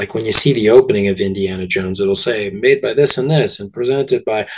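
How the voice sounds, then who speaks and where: This man has a Canadian accent. He speaks at a moderate pace. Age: 40s. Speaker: movie theatre owner. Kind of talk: interview.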